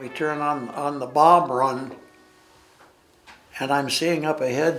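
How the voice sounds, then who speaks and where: Music plays behind a man with a Western US accent and a fairly high pitch. He speaks very slowly, his intonation fairly even. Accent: Western American. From Billings, Montana. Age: 80s+. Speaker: war veteran. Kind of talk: interview answer.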